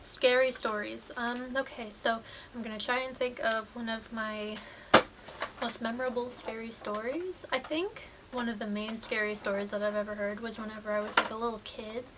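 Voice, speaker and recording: Over noticeable background noise, a woman speaks at a fairly high pitch and moderate pace with fairly even intonation. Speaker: YouTuber. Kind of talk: casual vlog chat. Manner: low-energy.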